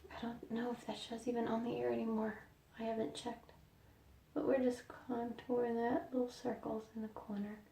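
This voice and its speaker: Noticeable background noise runs under a woman's fairly high voice. She speaks fairly quickly with fairly even intonation. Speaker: makeup vlogger. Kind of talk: tutorial. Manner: soft-spoken.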